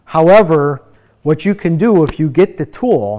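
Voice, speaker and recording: Speaking with an American accent, a man makes very wide pitch swings. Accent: American Midwest accent, noticed by a viewer. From Ohio. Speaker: EV trainer. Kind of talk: webinar Q&A. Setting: online webinar.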